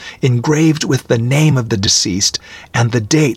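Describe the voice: The voice is plain reading aloud. Pitch variation is ordinary.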